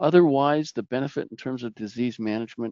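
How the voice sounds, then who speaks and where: This man has a Canadian Prairie accent. He speaks at a fairly quick pace. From Canadian Prairies, Saskatchewan. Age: 60s. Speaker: plant pathologist, researcher. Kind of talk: webinar presentation. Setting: online webinar.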